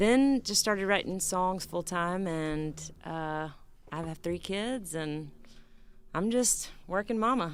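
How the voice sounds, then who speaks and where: In a Southern US accent, a woman speaks at a very slow pace with a fairly low pitch and lively intonation, with audible room echo. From West Tennessee. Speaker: songwriter and singer. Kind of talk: casual chat on stage.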